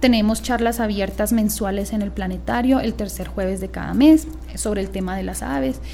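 Moderate-speed speech from a woman amid noticeable background noise and audible room echo. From Bogotá, Colombia. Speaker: ornithology society director. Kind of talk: radio interview.

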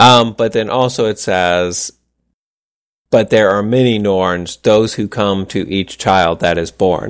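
The delivery is very slow. Its intonation stays fairly even. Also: man, fairly low pitch for a man. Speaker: podcast host. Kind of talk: casual chat.

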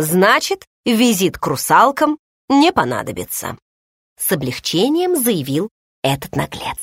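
Behind this plain reading aloud, the background stays quiet.

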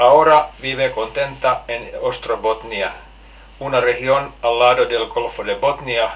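A man speaks at a fairly slow pace with ordinary pitch variation, and audible room echo surrounds him.

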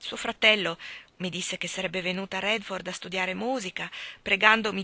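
An unforced reading voice and ordinary pitch variation.

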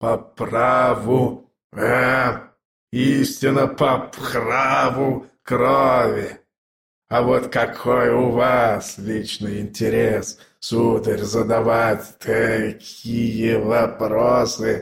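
A man does a put-on character voice that is hoarse and wheezy, with vocal fry and a fairly bright tone. His pitch sits at a medium level with little movement, and he speaks at a very slow pace.

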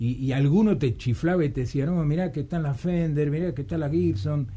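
A man's fairly high voice, dark and mellow in tone, with ordinary pitch variation at a fairly quick pace

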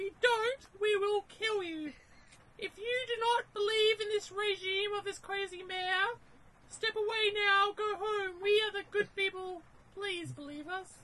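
Moving fairly slowly, a put-on character voice holds an extremely high pitch. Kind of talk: public speech to a crowd, reading the riot act. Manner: threatening, then pleading.

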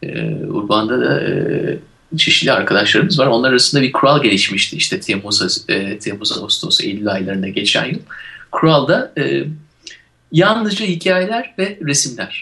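At a moderate pace, a man with a fairly high pitch and a bright, sharp tone swings very widely in pitch, with vocal fry. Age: 40s. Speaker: radio show co-host. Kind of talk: casual chat.

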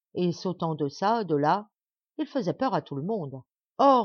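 Over a quiet background, the speaker does plain reading aloud.

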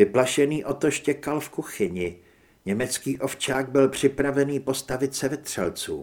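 A plain read-aloud delivery

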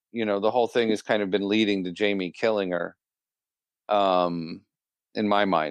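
In a dry, close sound with no echo and a quiet background, a man talks at a fairly low pitch with ordinary pitch variation. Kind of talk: casual chat.

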